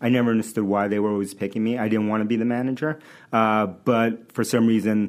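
A man with an American accent talks at a very fast pace in a fairly low voice, his intonation fairly even. The recording is very clean, with a silent background. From New York City (Queens). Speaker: tech startup founder and CEO. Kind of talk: casual interview. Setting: studio.

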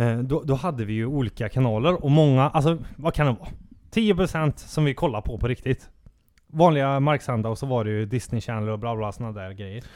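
A man's medium-pitched voice, an ordinary speaking voice, at a fairly quick pace with ordinary pitch variation. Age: 30s. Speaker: podcast co-host. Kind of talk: casual chat.

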